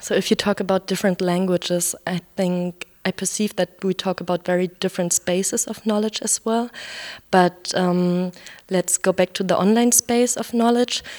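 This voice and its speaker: A woman with a German accent speaks at a moderate pace and fairly even intonation. The recording is very clean with a silent background and a dry, close sound with no echo. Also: medium pitch for a woman. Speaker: radio reporter. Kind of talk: interview; scripted narration.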